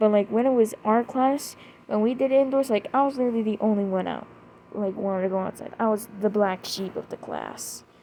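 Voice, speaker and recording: Music plays behind a woman who talks fairly quickly at a fairly high pitch with fairly even intonation. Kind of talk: casual storytime monologue. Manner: halting, repetitive with fillers. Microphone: may be too quiet.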